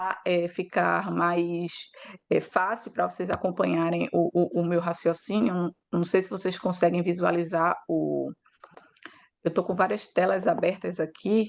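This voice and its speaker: A woman's fairly low-pitched voice in monotone, flat intonation at a fairly slow pace. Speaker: law professor. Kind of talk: academic lecture. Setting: video call. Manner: hesitant, many fillers.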